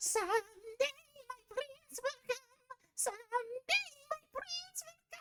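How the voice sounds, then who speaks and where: A put-on character voice, female-sounding, at an extremely high pitch for a woman and a very slow pace. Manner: sweet, dreamy, singsong.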